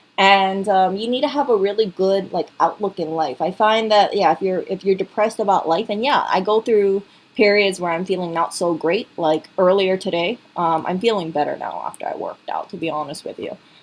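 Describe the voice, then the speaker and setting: At a fairly quick pace with hardly any pauses, a woman speaks at a medium pitch with ordinary pitch variation. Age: 30s. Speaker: vlogger. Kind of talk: casual vlog commentary.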